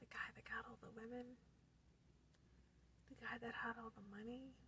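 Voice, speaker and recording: Whispering at a moderate pace, a woman speaks over light background noise. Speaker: ASMR creator. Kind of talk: casual talk to camera. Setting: in a car. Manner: whispered. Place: car. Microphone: phone near.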